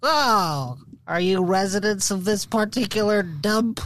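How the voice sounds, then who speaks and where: A put-on character voice at a middle pitch. It moves at a fairly slow pace. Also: quiet background. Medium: actual play. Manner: hesitant, deferential.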